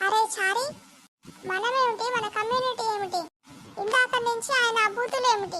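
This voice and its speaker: A woman's cartoonish character voice, extremely high-pitched, at a fairly slow pace. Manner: excitable, fast, whiny.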